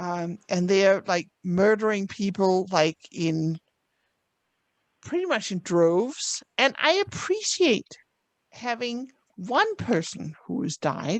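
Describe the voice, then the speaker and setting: A woman in a Danish accent, very slow in pace, lively in intonation, with a dry, close sound and no echo. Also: medium pitch for a woman. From Denmark. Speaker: book club member. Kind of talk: book club discussion.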